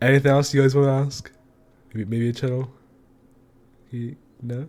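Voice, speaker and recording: A man at medium pitch and moderate pace, with monotone, flat intonation. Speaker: podcast host. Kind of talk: casual chat.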